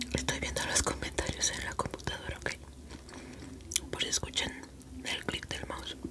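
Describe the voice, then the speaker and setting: A woman whispers at a moderate pace, leaving long, frequent pauses. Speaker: ASMR creator. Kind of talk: ASMR eating video, talk to viewers. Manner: whispered. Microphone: studio mic.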